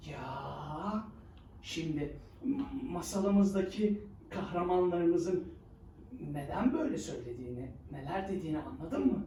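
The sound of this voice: Lively intonation in a dark, mellow tone at a fairly slow pace, with audible room echo.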